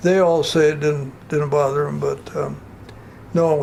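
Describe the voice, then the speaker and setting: A speaker with an Upper Midwest accent talks in a monotone, with flat intonation. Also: man. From North Dakota. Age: 80s+. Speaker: retiree. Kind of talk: oral history interview. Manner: halting.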